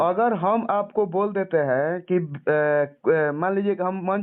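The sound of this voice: With a clear, smooth tone and a high pitch, a man speaks at a fairly slow pace. His pitch variation is ordinary.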